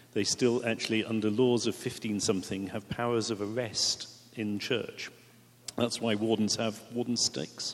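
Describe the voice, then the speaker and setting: Monotone and flat in intonation, a man speaks with an English accent. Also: medium pitch for a man, moderate pace. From England. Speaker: priest. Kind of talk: panel discussion.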